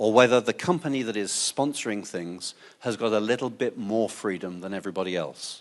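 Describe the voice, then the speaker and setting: Against a quiet background, a man talks with an English accent. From England. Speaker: open source advocate, conference speaker. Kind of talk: conference talk.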